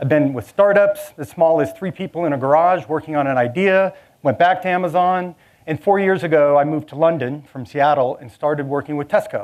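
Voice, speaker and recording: Big swings in loudness mark a man's Southern California accent. He talks at a fairly quick pace. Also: fairly high pitch for a man, ordinary pitch variation. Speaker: technology director, conference speaker. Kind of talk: conference talk. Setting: stage with audience.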